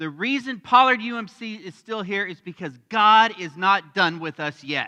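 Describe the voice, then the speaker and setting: A man's raised, projected voice with an American accent, bright and sharp in tone, lively intonation and a moderate pace, in a dry, close sound with no echo. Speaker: pastor. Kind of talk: sermon. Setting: church. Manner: loud.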